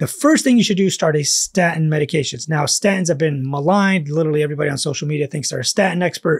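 Against a quiet background, a man speaks in a high voice. His pace is very fast. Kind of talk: lecture. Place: home room.

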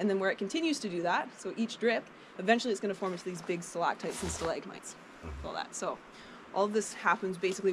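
A woman at a very fast pace, ordinary pitch variation, noticeable background noise behind her. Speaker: cave tour guide. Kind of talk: guided tour explanation. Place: forest. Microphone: camera far.

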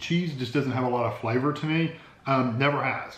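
At a fairly quick pace, a man talks with ordinary pitch variation, and audible room echo surrounds his voice. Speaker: food reviewer. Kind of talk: casual taste-test vlog chat. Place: home room. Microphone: phone near.

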